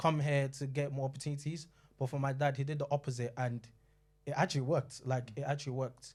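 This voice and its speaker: Somewhat breathy delivery at a very fast pace with monotone, flat intonation comes through on a very clean recording with a silent background. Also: man, fairly high pitch for a man. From London and Nigeria. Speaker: panellist. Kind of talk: panel discussion.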